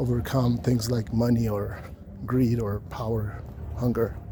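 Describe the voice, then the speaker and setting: A man at medium pitch and a fairly slow pace with fairly even intonation, amid noticeable background noise and audible room echo. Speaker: vlogger. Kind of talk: monologue on social views. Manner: halting, many repetitions.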